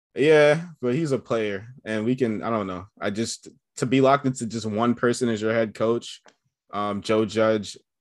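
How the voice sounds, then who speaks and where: With a New York accent, a man speaks at a moderate pace. His pitch is medium, with ordinary variation. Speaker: basketball podcaster. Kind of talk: casual chat. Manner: halting.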